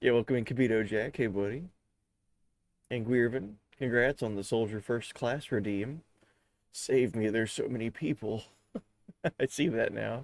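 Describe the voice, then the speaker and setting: At a moderate pace, a man with medium pitch and ordinary pitch variation speaks with long, frequent pauses. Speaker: video game streamer. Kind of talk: live stream chat. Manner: casual, chatty.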